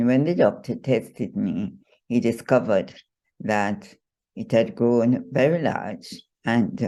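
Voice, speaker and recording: Fairly slow speech in a dark, mellow tone over a quiet background. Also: woman. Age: 80s+. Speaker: first-time author, retired civil servant and poultry farmer. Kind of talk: interview answer.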